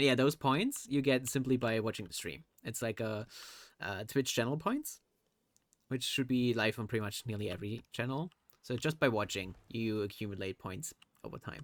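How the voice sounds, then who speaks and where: A man's medium-pitched voice with a German accent, moderate pace and ordinary pitch variation, on a very clean recording with a silent background. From Germany. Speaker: streamer. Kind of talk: casual live stream chat.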